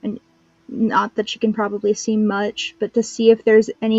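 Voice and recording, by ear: The text is read aloud in a natural voice.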